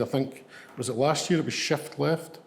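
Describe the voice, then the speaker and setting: In a west of Scotland accent, a man talks at a medium pitch with ordinary pitch variation and audible room echo. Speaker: ambulance service medical leader. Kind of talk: lecture. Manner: halting, many fillers.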